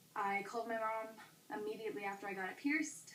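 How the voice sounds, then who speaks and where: Audible room echo hangs around the woman as she talks. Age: young. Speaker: vlogger. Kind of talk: casual vlog. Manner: fast; hesitant with fillers.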